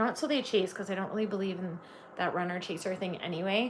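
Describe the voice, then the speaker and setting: A woman's medium-pitched voice with a slight Canadian accent, fairly even intonation and a fairly quick pace. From Canada. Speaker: tarot reader. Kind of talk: live-stream tarot reading. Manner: casual, filler-heavy.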